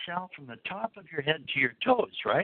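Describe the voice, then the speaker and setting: A man speaks with a high voice for his sex. His pitch swings very widely up and down. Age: 60s. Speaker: supplement formulator. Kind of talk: product call talk. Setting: phone call.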